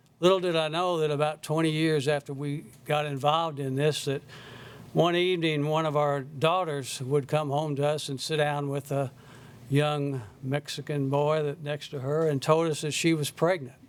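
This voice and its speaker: With an American accent, a man speaks in a fairly high, monotone voice with flat intonation at a moderate pace. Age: 70s. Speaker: citizen giving public testimony. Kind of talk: testimony. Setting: Senate committee hearing. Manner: halting.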